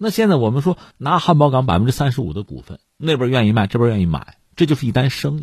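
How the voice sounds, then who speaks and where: Very fast, somewhat breathy speech with hardly any pauses and very wide pitch swings, on a very clean recording with a silent background. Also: man, medium pitch for a man. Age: middle-aged. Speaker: news commentator. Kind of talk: news commentary monologue. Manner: animated.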